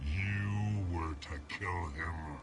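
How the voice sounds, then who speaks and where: Put-on character voice from a man amid clear background noise. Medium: video game. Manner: bitter, accusing.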